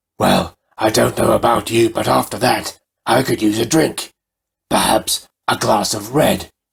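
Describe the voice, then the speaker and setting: A man's raspy, put-on character voice at a medium pitch. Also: moderate pace. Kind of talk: horror host showmanship. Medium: read story. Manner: theatrical, relishing.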